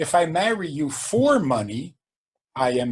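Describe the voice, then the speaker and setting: The voice is somewhat breathy. It belongs to a man. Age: 70s. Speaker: rabbi. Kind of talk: podcast interview.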